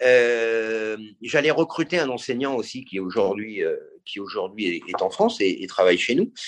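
With lively intonation, a man at a medium pitch talks at a fairly slow pace. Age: 50s. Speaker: golf brand director. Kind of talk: interview. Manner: animated; halting.

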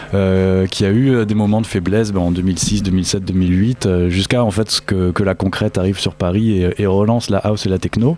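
A man with a plain, everyday voice speaks at a fairly low pitch. His pace is moderate. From rural France, Lot. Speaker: techno fan. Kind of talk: casual chat.

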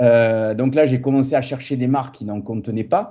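This man has an ordinary speaking voice at medium pitch, with ordinary pitch variation and a moderate pace. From southern France, Montpellier. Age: 40s. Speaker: fitness entrepreneur and former karate champion. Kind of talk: casual interview.

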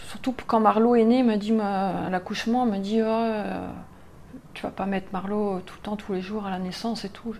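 A woman speaks at medium pitch and a fairly slow pace, with hardly any pauses. Her intonation stays monotone and flat while her loudness swings a lot. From Normandy, France. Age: 40s. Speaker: blogger and graphic designer. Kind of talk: interview. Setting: bar.

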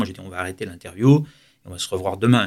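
This man rattles along at a very fast pace. There's a very clean recording and a silent background. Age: 60s. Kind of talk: radio interview.

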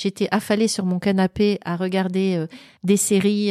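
Speaking at a fairly slow pace, a woman has a dark, mellow tone at a medium pitch, recorded very cleanly over a silent background with a dry, close sound and no echo. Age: 50s. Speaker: author and former recruiter. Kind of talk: interview.

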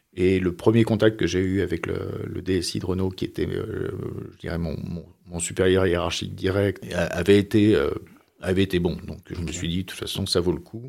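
This man's pitch is very deep and low. He speaks at a moderate pace with fairly even intonation. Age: 60s. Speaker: former corporate executive. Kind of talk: interview. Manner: halting.

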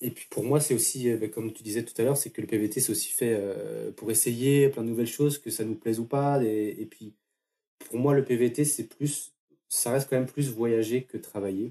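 Using fairly even intonation and big swings in loudness, a man speaks at a moderate pace and medium pitch in a dark, mellow tone. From France, Brittany (near Fougères). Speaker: working holiday traveller. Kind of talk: interview testimony.

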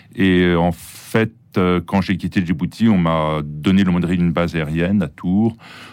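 The voice holds a very even loudness and fairly even intonation at a fairly slow pace. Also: man, very deep, low pitch for a man. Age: 60s. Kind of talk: interview testimony. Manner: hesitant, with fillers and repetitions.

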